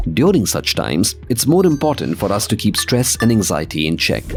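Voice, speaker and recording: Music plays in the background as a man talks at a fairly quick pace. His pitch swings very widely. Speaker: voice actor. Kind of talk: corporate narration.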